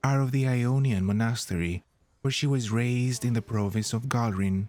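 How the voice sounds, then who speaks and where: Soft-spoken and gentle, a man talks at a moderate pace in a medium pitch with a dark, mellow tone and ordinary pitch variation. The recording is very clean and dry, close with no echo and a silent background. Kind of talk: soft-spoken ASMR-style lore reading. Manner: soft-spoken, gentle.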